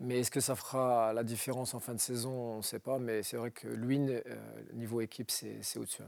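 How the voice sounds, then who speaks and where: Over a silent background in a very clean recording, a man at medium pitch speaks at a fairly quick pace with monotone, flat intonation. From northern France, Roubaix. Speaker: former pro footballer. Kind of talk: TV interview. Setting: TV studio.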